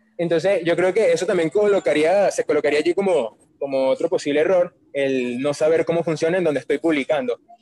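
Recorded with a dry, close sound and no echo, a man with a Venezuelan accent speaks high-pitched at a fairly quick pace, hardly pausing, with ordinary pitch variation and very even loudness. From Caracas, Venezuela. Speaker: marketer and musical theatre actor. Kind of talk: casual interview chat. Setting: outdoors on the street, remote call.

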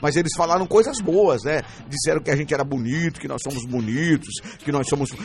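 Here a man speaks at a fairly high pitch in an animated tone. Background noise is noticeable. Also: ordinary pitch variation, fairly quick pace. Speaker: radio host and pastor. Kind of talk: casual radio show chat; read-out ads.

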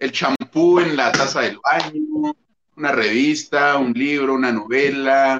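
A man speaks in a Mexican accent. His fairly high pitch rises and falls with lively intonation. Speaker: booktuber. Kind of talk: casual chat.

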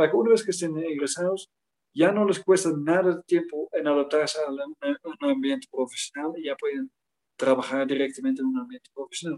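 Speaking with a Dutch accent, a man uses a high pitch and lively intonation at a fairly quick pace. The sound is dry and close with no echo. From Netherlands, near Utrecht. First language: Dutch (speaking Spanish). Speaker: international education expert. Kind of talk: interview.

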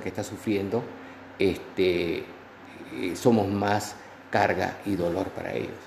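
Recorded with noticeable background noise and audible room echo, a man talks at a fairly slow pace with a fairly low pitch. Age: old. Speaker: pastor. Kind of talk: interview. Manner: halting.

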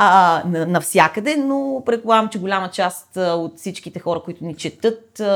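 Recorded very cleanly against a silent background, a woman talks at moderate pace and medium pitch in a normal speaking voice. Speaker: poet and podcast co-host. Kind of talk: casual chat.

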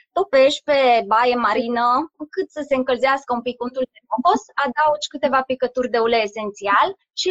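The speech moves at a fairly quick pace. It is captured with a dry, close sound and no echo. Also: woman. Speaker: doctor and aromatherapy coach. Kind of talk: live stream interview.

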